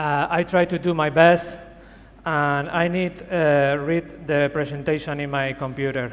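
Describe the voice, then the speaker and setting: A man with a fairly high pitch speaks at a fairly slow pace in a monotone, flat intonation. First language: Spanish. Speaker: creative director and tattoo artist. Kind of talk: conference talk. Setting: stage with audience. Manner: halting.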